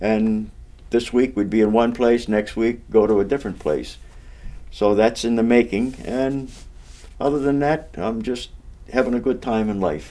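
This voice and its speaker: In an eastern Massachusetts accent, the speaker has a dark, mellow tone, ordinary pitch variation and a moderate pace broken by long, frequent pauses. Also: man, medium pitch for a man. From Massachusetts, Amesbury area. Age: 70s. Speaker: local elder and amateur singer. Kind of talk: casual interview. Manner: halting, self-correcting.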